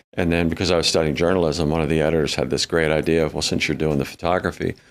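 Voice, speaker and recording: A man with an American accent speaks in a very deep, low pitch with vocal fry at a very fast pace. His intonation is monotone and flat, his loudness very even. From northern US. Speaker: author. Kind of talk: interview.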